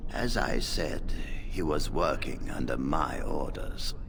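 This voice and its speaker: A man in a put-on character voice at a fairly slow pace, against loud background noise. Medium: video game. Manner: calm, measured.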